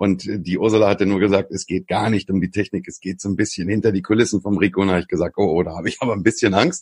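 Very fast, near-pauseless talk with fairly even intonation, in a dry, close sound with no echo. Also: man, fairly low pitch for a man. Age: 40s. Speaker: online marketing consultant. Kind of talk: interview conversation.

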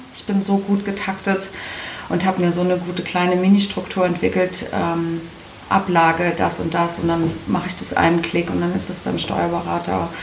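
The speech comes at a moderate pace. Noticeable background noise and audible room echo are present. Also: woman. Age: 30s. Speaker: solo entrepreneur. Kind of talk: interview.

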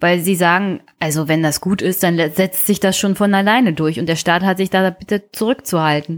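A woman with a normal speaking voice talks at a moderate pace, her pitch medium with ordinary variation. The recording is very clean, with a silent background. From Brandenburg, Germany (Teltow-Fläming). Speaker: podcast co-host. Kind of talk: casual political discussion.

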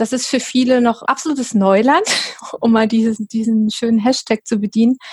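A woman speaks in a normal speaking voice at a fairly high pitch and a moderate pace. Her intonation is fairly even, her loudness very even, and the sound dry and close with no echo. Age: 40s. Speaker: professional organizing and decluttering coach. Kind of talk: interview.

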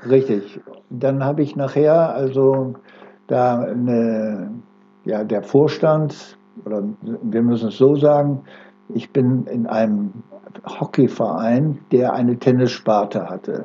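A man at medium pitch, very slow in pace with long, frequent pauses and ordinary pitch variation. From northern Germany, Oldenburg. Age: 80s+. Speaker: sports club president and volunteer. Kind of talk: interview.

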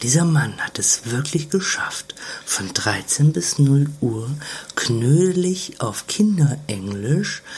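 Amid noticeable background noise, a woman with a very deep, low voice speaks at a very slow pace with very wide pitch swings. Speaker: podcast co-host. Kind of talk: casual chat. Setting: caravan on holiday. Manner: quieter than usual.

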